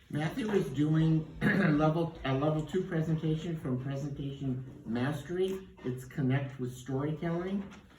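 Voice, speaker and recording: Over noticeable background noise, the speech moves at a moderate pace with ordinary pitch variation and hardly any pauses. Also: man, fairly high pitch for a man. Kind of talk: speech introduction at club meeting.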